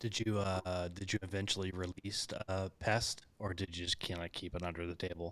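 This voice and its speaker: On a very clean recording with a silent background, a man with an American accent speaks in a very deep, low pitch, monotone and flat, with hardly any pauses. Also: moderate pace. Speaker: podcast host. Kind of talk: interview.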